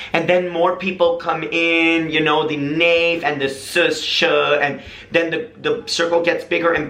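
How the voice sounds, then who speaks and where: An animated man with an American accent and a high pitch, amid audible room echo and noticeable background noise. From United States. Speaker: vlogger. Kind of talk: casual vlog monologue.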